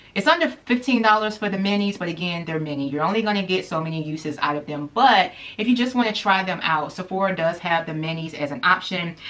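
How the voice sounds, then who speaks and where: An unremarkable speaking voice from a woman, medium in pitch, with lively intonation at a fairly quick pace. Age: 30s. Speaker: beauty YouTuber. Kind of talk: product review vlog. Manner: casual, chatty.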